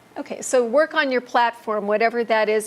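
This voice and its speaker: Speaking in a normal speaking voice with an American accent, a woman talks at a fairly quick pace, her fairly high pitch held in fairly even intonation. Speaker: ministry trainer. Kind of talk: lecture.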